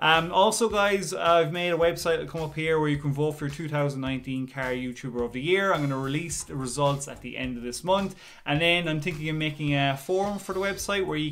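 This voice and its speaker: A man at a very fast pace with ordinary pitch variation. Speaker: channel host. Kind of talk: casual vlog chat. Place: home room. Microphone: phone near.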